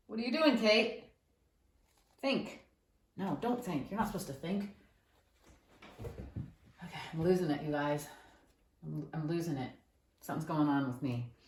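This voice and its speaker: A woman with a fairly low pitch speaks at a moderate pace with very wide pitch swings. Long, frequent pauses and audible room echo fill the clip. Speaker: painter. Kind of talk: casual chat. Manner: animated.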